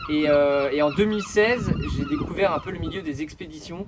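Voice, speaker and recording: Noticeable background noise sits under a man's fairly high voice, which shows ordinary pitch variation. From Brittany, France (Concarneau). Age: 30s. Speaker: environmental association founder, merchant navy officer. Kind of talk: interview. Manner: hesitant, many fillers.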